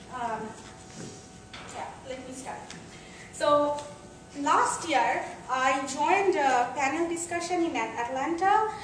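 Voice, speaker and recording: Speaking very slowly with long, frequent pauses, a woman uses a high pitch and lively intonation. Noticeable background noise and audible room echo are present. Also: big swings in loudness. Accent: non-native. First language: not English. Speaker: computer science professor. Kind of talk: lecture. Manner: hesitant, many fillers.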